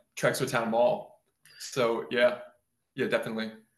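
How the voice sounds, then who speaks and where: Audible room echo surrounds a man who talks at a fairly quick pace. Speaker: guitar builder. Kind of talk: casual interview.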